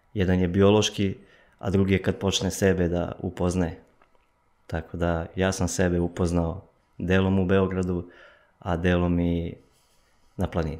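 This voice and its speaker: Against a quiet background, a man with a very deep, low voice speaks at a fairly slow pace in a monotone, flat intonation, leaving long, frequent pauses. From eastern Serbia, village near Golubac; Serbia. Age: 20s. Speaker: runner, athlete; podcast guest. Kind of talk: casual interview. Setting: studio. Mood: calm, reflective. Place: studio. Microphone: studio mic.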